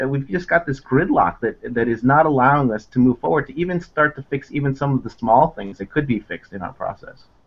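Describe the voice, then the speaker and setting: A man with an American accent at a very fast pace, ordinary pitch variation and hardly any pauses. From United States. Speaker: immigration lawyer. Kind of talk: interview. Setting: video call. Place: office. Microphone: video call.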